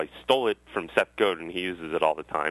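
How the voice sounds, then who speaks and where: Someone with an American accent talks at a fairly quick pace. The pitch varies in an ordinary way. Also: man. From Massachusetts (Westwood, near Boston). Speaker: tech entrepreneur and author. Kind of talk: interview.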